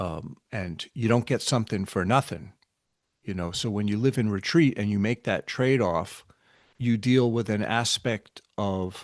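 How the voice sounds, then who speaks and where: A man with an unremarkable speaking voice and an American accent talks at a fairly slow pace and fairly low pitch with ordinary pitch variation, over a quiet background. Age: 60s. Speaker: spiritual teacher. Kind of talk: casual chat.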